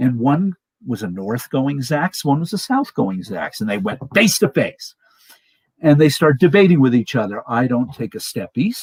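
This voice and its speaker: The sound is dry and close, with no echo, as a man talks at a moderate pace. His fairly high, somewhat breathy voice swings very widely in pitch. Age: 60s. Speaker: guest on live stream talk show. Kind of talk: casual storytelling chat. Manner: animated.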